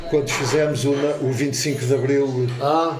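A man speaks with fairly even intonation. Background noise is noticeable. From Lisbon, Portugal. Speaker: retired musician and war veteran. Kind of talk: casual chat. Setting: café table.

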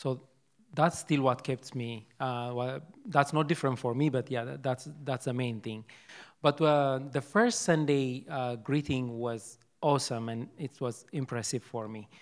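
Delivered in an Ethiopian accent, the speech keeps a fairly slow pace and fairly even intonation. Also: man, medium pitch for a man. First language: Amharic. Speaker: church member. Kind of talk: testimony. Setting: church service with congregation. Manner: halting.

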